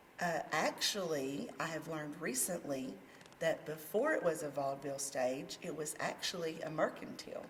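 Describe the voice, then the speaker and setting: Over noticeable background noise, a woman with a very deep, low pitch talks at a moderate pace with ordinary pitch variation. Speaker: community theatre president. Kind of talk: casual interview.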